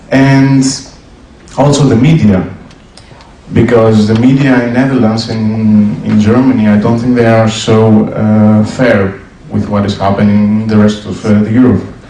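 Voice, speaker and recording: A man with a Greek accent speaks at a moderate pace in a medium pitch, his intonation fairly even, with noticeable background noise and audible room echo. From Greece. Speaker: audience member at debate. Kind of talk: audience question at public debate. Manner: halting.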